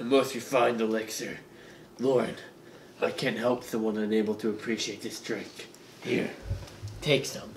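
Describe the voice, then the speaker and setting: Someone talks in a raspy, put-on character voice at a moderate pace. Long, frequent pauses come through over light background noise. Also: man, medium pitch for a man. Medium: audio drama.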